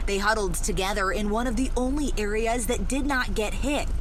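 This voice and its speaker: Amid noticeable background noise, the speech keeps a moderate pace, very even loudness and ordinary pitch variation. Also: woman, fairly high pitch for a woman. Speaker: TV news reporter and anchor. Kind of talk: TV news package narration.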